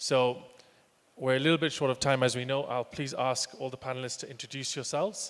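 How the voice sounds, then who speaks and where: A man with an English accent, medium pitch, fairly even intonation and a fairly quick pace. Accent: sounds quite English. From Kenya. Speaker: panel moderator, transport company manager. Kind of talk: panel discussion.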